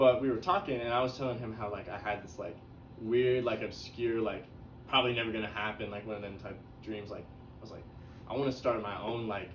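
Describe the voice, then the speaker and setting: Amid audible room echo and noticeable background noise, a man speaks at a very fast pace with big swings in loudness. His medium pitch follows a fairly even intonation. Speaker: psychology student. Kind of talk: casual chat. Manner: halting.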